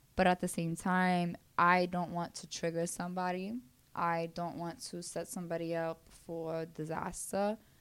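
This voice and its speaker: A woman's fairly low voice with a Brooklyn accent, flat and monotone, in a very clean recording over a silent background. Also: moderate pace. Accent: Brooklyn New York. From Brooklyn, New York. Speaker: mental health and wellness speaker. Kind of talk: casual interview chat.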